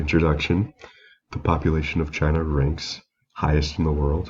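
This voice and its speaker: Music plays in the background as a man talks at a moderate pace. His very deep, low voice stays monotone and flat. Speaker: student giving a class presentation. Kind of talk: recorded class presentation. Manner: reading from prepared slides.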